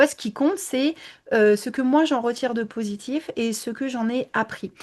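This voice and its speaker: A high-pitched woman at a moderate pace, with ordinary pitch variation over a quiet background. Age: 20s. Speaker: image consultant. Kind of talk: interview. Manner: hesitant, many fillers.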